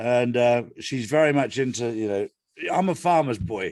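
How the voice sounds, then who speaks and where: A man speaks with an East Anglian accent at a medium pitch. His pace is moderate and his intonation lively. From England, Ipswich area. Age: 60s. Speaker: guest. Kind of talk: casual chat.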